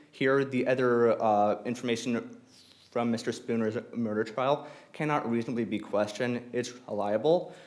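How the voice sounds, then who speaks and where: Moderate pace from a man with fairly even intonation, with audible room echo. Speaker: law student arguing appeal. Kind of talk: appellate oral argument. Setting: courtroom. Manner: halting, with repetitions; formal.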